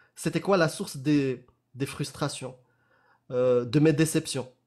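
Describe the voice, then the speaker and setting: The man talks at a very slow pace against a quiet background. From Morocco. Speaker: apostate activist and spokesperson; spokesperson. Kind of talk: casual live discussion. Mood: earnest, pleading. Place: home room.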